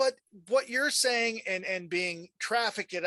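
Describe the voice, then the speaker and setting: A man's raised, projected voice, high in pitch and bright and sharp in tone, with lively intonation and a dry, close sound with no echo. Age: 50s. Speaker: talk show host. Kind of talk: interview. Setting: video call.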